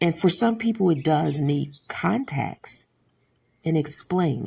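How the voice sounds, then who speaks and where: Very slowly and with lively intonation, a woman with an American accent speaks at a very deep, low pitch with vocal fry. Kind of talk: commentary talk to camera.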